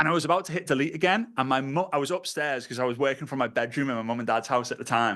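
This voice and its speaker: Over a quiet background, a man with a Liverpool accent talks very fast. His tone is bright and sharp, his intonation lively. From northern England, Liverpool. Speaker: network marketing trainer. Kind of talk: online training call talk. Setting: online video call. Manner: animated.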